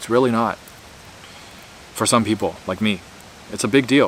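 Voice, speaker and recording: Noticeable background noise behind a man's fairly quick speech. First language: Mandarin. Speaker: YouTuber, former scientist. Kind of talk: casual monologue. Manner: rambling with fillers.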